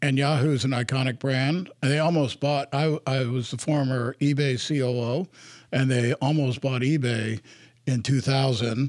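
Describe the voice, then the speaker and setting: This man has a normal speaking voice with a medium pitch. He talks at a fairly slow pace with fairly even intonation. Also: very even loudness. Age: 60s. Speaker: investor and board director. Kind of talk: interview.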